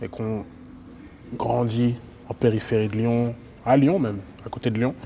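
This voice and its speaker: A man at a moderate pace with fairly even intonation and noticeable background noise. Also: medium pitch for a man. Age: 20s. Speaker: interviewer. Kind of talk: interview.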